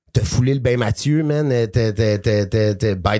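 Ordinary pitch variation in a man's speech, with noticeable noise behind it. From western Quebec. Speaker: podcast co-host, battle rap commentator. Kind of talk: casual chat.

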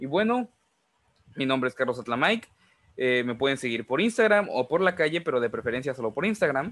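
Talking at a fairly quick pace, a man with a fairly high voice swings his pitch very widely. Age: 20s. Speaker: podcast host and writer. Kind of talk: casual chat.

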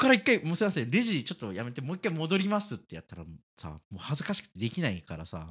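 A man talks very fast at a fairly high pitch, with vocal fry. His pitch swings very widely and his loudness shifts in big swings. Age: 30s. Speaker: podcast co-host. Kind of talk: casual chat.

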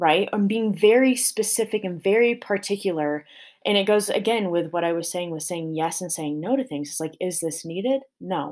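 A woman with an unremarkable speaking voice talks at medium pitch in a General American accent, with ordinary pitch variation. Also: moderate pace, very clean recording, silent background. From small-town Colorado. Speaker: podcast host, dancer and fitness coach. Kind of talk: solo podcast monologue. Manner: casual with frequent fillers.

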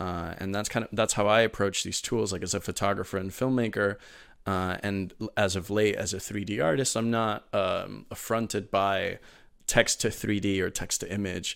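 An ordinary speaking voice: a man at fairly low pitch, fairly even in intonation, at a moderate pace, on a very clean recording with a silent background. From Miami, Florida (born in Venezuela). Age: 20s. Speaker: holographic display community manager and 3D artist. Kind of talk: interview.

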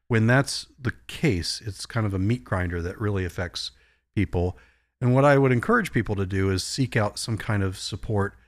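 This is a plain, everyday voice with an American accent. It moves at a moderate pace with ordinary pitch variation. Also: man, fairly low pitch for a man. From Virginia, US (Virginia Beach). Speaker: psychologist. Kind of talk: panel discussion.

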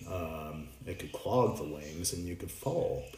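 A man speaks in a very deep, low voice while noticeable noise carries on in the background. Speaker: podcast host. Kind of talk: mythic narration read aloud from the story, solemn storytelling; podcast monologue, reflective talk. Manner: measured, dramatic, reading-aloud cadence with emotional weight; fluent but with frequent filler 'um' pauses.

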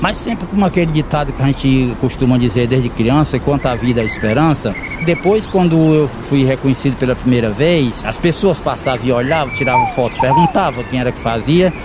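Lively intonation marks this man's speech, which moves at a moderate pace. Background noise is noticeable. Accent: Ceará. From Ceará backlands, Pentecoste (Brazil). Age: 50s. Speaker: gardener and woodcarving artisan. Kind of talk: interview.

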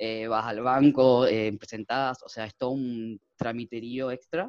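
Using a normal speaking voice, a man talks at a moderate pace with fairly even intonation. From Argentina, Chaco. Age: 20s. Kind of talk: interview.

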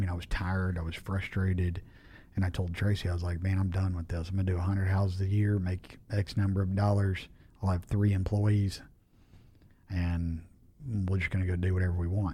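In a very clean, silent recording, a man with a very deep, low voice and a dark, mellow, somewhat breathy tone speaks in a flat monotone at a fairly quick pace. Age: 40s. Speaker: home builder and business owner. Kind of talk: casual interview.

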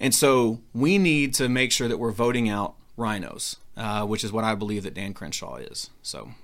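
At a moderate pace with hardly any pauses, a man in an American accent talks at medium pitch with ordinary pitch variation. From Texas, Houston area. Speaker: congressional candidate. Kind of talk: interview. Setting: studio. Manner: halting, many fillers.

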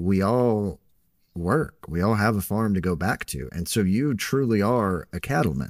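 A man with an American accent, very deep and low in pitch, with lively intonation, on a very clean recording with a silent background. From Texas. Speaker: podcast host and farmer. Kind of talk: casual podcast chat.

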